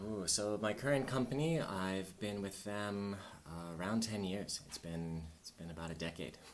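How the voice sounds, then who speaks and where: A Californian accent at a moderate pace with ordinary pitch variation. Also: man, fairly low pitch for a man. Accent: General American, Californian. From US, Southern California. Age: 40s. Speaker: English teacher and traveler. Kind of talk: podcast interview.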